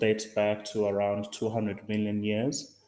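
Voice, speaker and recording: Speaking in a Zulu accent, a man talks at a fairly slow pace with monotone, flat intonation. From South Africa. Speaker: science writer. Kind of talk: lecture. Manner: halting, many fillers.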